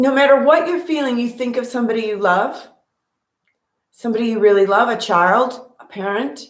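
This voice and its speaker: Using ordinary pitch variation at a moderate pace, a woman with a high pitch speaks with long, frequent pauses. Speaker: meditation teacher. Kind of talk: guided meditation talk. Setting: at home with cat on lap. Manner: casual.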